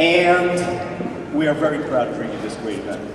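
A man heard with audible room echo and clear background noise

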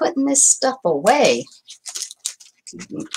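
Light background noise runs under a woman's voice. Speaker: crafter live streamer. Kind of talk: casual live stream chat. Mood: cheerful, laughing. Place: home room.

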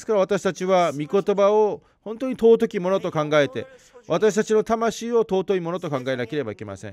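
This man talks at a moderate pace in a high pitch, with lively intonation and big swings in loudness. The sound is dry and close, with no echo. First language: Korean (speaking Japanese). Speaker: pastor. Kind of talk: sermon.

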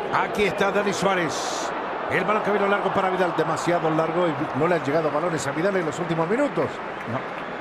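A high-pitched man at a fairly quick pace, very even in loudness, with ordinary pitch variation and crowd noise in the background. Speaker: play-by-play commentator. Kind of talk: live football commentary. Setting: broadcast commentary booth with co-commentators. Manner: rapid-fire, breathless play-by-play, naming players as the ball moves.

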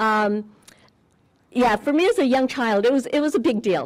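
The speaker has an American accent and lively intonation. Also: woman. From Southern California. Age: 60s. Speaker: longtime local resident. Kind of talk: ceremonial speech with personal memories. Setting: outdoors at a park ceremony. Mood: warm, nostalgic. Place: open country. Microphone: podium.

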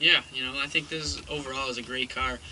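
Light background noise sits behind a man speaking with monotone, flat intonation. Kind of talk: casual vlog chat. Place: car. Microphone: phone near.

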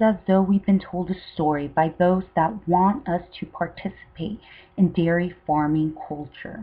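With music in the background, a woman speaks in a dramatic tone at a fairly slow pace and a fairly low pitch. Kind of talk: documentary-style advocacy narration. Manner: overly dramatic.

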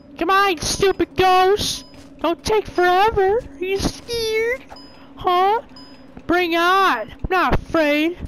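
Against music in the background, a woman talks at a very slow pace in an extremely high pitch, with ordinary pitch variation and big swings in loudness. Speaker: gaming YouTuber. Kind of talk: gameplay commentary. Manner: animated, exclamatory; hesitant, many fillers. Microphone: new headset mic, louder.

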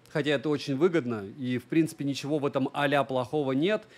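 A man's voice with ordinary pitch variation. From Russia, Murmansk region (Monchegorsk); Russia. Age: 30s. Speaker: tech reviewer and streamer; tech blogger. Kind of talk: livestream monologue. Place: home room. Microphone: studio mic.

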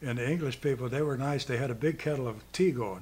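A man talks at a fairly quick pace with a medium pitch, a slightly mellow tone and ordinary pitch variation.

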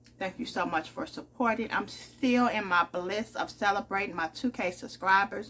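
Speaking at a moderate pace, a woman has a bright, sharp tone. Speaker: home vlogger. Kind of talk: casual vlog chat, food tasting. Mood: upbeat, grateful. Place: kitchen. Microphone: phone near.

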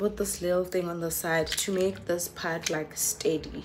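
Amid noticeable background noise, a woman speaks at a very slow pace with fairly even intonation. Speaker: vlogger. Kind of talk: casual vlog chat. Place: home room. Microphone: phone near.

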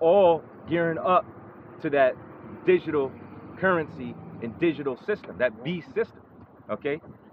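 There is noticeable background noise as a man speaks at a moderate pace. His pitch varies in an ordinary way, and he takes long, frequent pauses. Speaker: street preacher. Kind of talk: sermon.

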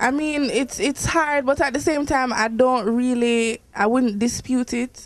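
Her pitch high for a woman, a woman talks at a fairly slow pace with fairly even intonation. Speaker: interviewee. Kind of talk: interview answer. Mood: relaxed, reflective. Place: studio. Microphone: handheld.

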